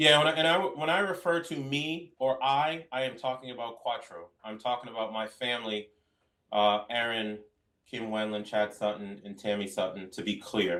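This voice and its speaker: Speaking with a plain, everyday voice and an American accent, a man uses lively intonation at medium pitch and a moderate pace. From Boston. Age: 40s. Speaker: real estate investor. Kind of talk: interview.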